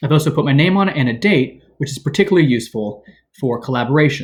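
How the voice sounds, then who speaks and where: A man with a fairly high voice speaks at a fairly quick pace. His intonation is lively and his voice is somewhat breathy. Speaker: teacher. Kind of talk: tutorial. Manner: fast. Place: home room. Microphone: webcam.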